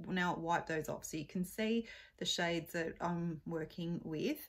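The speaker is a woman with a somewhat breathy voice. She goes at a fairly slow pace. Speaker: beauty vlogger. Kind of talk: casual makeup tutorial chat. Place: home room. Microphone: phone near.

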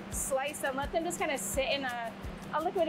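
A woman at a very fast pace, with music in the background. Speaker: chef demonstrating a recipe. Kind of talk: cooking demonstration. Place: kitchen.

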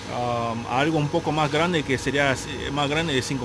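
Talking at a moderate pace with ordinary pitch variation, a man is heard against noticeable background noise. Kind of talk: tutorial narration. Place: workshop. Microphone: phone near.

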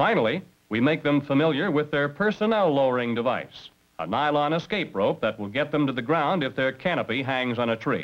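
Here a man with an ordinary speaking voice talks at a fairly quick pace, with lively intonation and a fairly high pitch for a man. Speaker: instructor narrator. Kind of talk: vintage training film narration. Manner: formal, brisk and authoritative; measured, instructional delivery.

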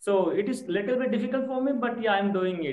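A man speaks in an Indian accent. The background is quiet, though audible room echo comes through. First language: Hindi. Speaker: schoolteacher and English learner. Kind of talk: online English lesson. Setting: video call. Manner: halting, many fillers. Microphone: video call.

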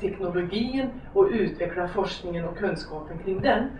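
A woman at medium pitch and a fairly slow pace, with very wide pitch swings, audible room echo and light background noise. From Hudiksvall, Sweden. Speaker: lecturer on gender equality. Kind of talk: lecture. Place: stage.

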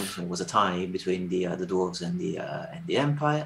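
A man talks with lively intonation. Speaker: tournament organiser. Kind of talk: casual chat. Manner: repeats words, halting. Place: home room. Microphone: video call.

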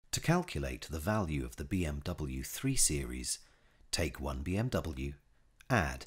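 A man with a very deep, low voice and vocal fry speaks at a fairly slow pace, his pitch swinging very widely. The recording is very clean, with a silent background. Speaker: voice actor. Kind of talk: TV commercial read.

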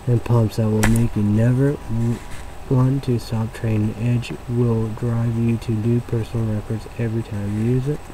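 Monotone, flat intonation at a moderate pace, dry sound with no echo and noticeable background noise. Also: man. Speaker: comedy vlogger. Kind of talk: reading a label aloud, spelling words. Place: home room. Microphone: webcam.

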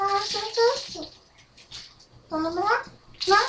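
A man puts on a character voice pitched extremely high, talking at a moderate pace. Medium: role play. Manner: demanding, excited.

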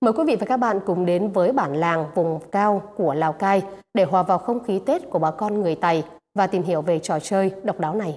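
A woman talks at a moderate pace with very even loudness and ordinary pitch variation. The background is quiet. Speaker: TV news presenter. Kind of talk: news presentation. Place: studio. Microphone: lapel.

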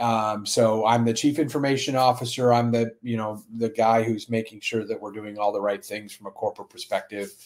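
A man at a fairly quick pace, with little pitch movement and few pauses. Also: fairly low pitch for a man.

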